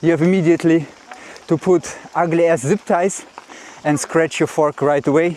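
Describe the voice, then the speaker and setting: A high-pitched male voice at a moderate pace, dry and close with no echo, amid noticeable background noise. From Russia. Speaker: mountain bike vlogger. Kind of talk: casual vlog talk. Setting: outdoors, pedaling uphill on a trail.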